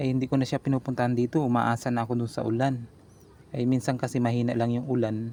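The speaker is a man with a medium-pitched voice. Dark and mellow describes his tone. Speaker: home gardening vlogger. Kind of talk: casual tutorial vlog. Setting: outdoors on a rooftop. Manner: stumbling over words.

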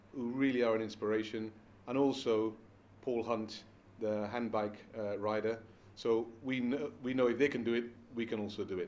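A man at a moderate pace in a monotone, flat intonation. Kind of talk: interview answer. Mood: warm, reflective. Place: home room.

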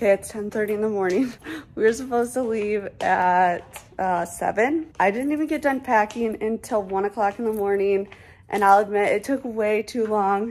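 With music in the background, a woman's voice shows ordinary pitch variation. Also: moderate pace. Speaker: parent vlogger. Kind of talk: casual vlog chat. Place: home room. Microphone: phone near.

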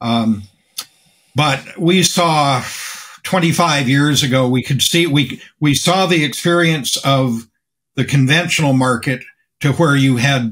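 This is a man with an American accent and a fairly high pitch. His pitch moves in an ordinary way, and it is a normal speaking voice. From US. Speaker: organic farmer and activist; guest. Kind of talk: interview. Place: office. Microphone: webcam.

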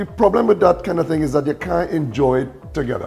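Very fast speech with ordinary pitch variation over faint background music. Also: man. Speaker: guest. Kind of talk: casual conversation. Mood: animated, storytelling. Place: kitchen. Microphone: lapel.

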